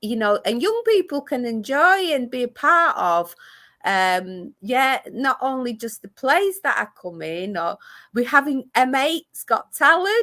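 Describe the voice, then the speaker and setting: A woman speaks at a fairly slow pace in a high, bright, sharp voice that is raised and projected, swinging very widely in pitch, on a very clean recording with a silent background. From Greece (Athens), moved to Manchester at eleven. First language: Greek. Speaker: community arts ambassador. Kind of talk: interview chat. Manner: halting, many fillers and restarts.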